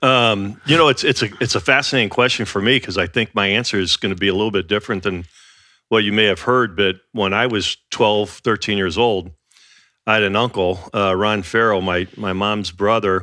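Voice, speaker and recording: This man has an ordinary speaking voice, fairly low in pitch, at a moderate pace. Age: 60s. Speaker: industrial real estate executive and former football broadcaster. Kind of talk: casual interview chat. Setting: in the host's home.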